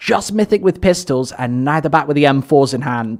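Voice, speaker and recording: A man with a British accent at a fairly quick pace. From Britain. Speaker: esports caster. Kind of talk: live commentary.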